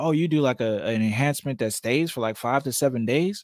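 This is a normal speaking voice with ordinary pitch variation, captured in a very clean recording with a silent background. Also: man. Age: 30s. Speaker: barber and podcast host. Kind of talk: casual chat.

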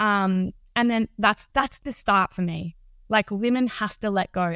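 A normal speaking voice, heard in a very clean recording with a silent background and a dry, close sound with no echo, moves at a moderate pace with ordinary pitch variation. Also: woman. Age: 30s. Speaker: entrepreneur and self-love coach. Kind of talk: podcast interview.

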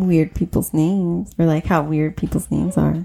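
A woman speaks with an unremarkable speaking voice at a fairly low pitch. Her pace is moderate. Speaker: podcast host. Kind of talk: casual chat.

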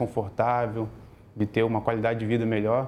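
A man's dark, mellow tone at a medium pitch and a moderate pace. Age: 30s. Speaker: logistics worker sharing financial recovery story. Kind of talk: interview testimony.

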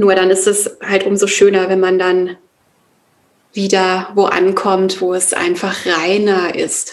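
At a very slow pace, a woman speaks at medium pitch with monotone, flat intonation. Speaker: yoga and meditation teacher. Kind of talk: interview. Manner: hesitant, many fillers.

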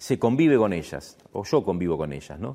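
A man's pitch swings very widely as he speaks at a medium speed. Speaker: stage and screen actor. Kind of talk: talk to an audience. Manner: halting.

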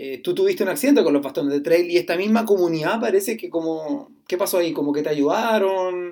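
Talking at a very fast pace with hardly any pauses, a man with a high pitch and a dark, mellow tone keeps his intonation lively. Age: 30s. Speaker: podcast host. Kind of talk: casual interview. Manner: halting.

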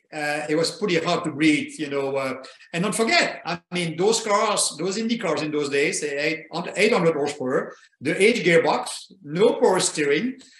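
A man speaks with a French accent at a moderate pace. His pitch is high and his intonation lively. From Belgium. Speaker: retired racing driver. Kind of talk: interview.

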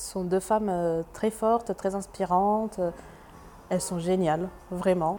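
A woman speaks at a very slow pace in a medium pitch with a dark, mellow tone. Her intonation stays fairly even. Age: 20s. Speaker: laboratory technician, feminist. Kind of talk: interview testimony. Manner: hesitant, many fillers and repetitions.

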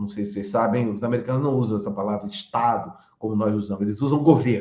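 The man's tone is dark and mellow. His voice is somewhat breathy. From Bahia, Brazil (Salvador). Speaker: law professor. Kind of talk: interview. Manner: halting.

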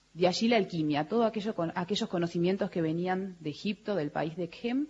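A woman speaks at a moderate pace with a fairly low pitch, a somewhat breathy sound and ordinary pitch variation. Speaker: museum director. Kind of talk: radio interview. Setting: live broadcast venue with audience.

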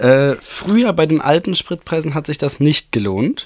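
A plain, everyday voice from a man, fairly high in pitch, with lively intonation. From Germany, Bochum (Ruhr area). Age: 20s. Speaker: podcast co-host.

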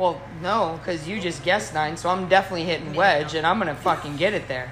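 Noticeable background noise accompanies a woman speaking at a very fast pace. Her pitch is medium, and her tone is animated. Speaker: professional golfer and podcast host. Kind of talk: casual chat. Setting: bar.

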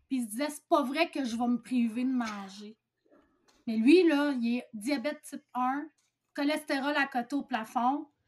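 This woman speaks at a fairly slow pace. Her pitch is high, with ordinary variation. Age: 40s. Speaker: bariatric surgery patient sharing experience. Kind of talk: testimony.

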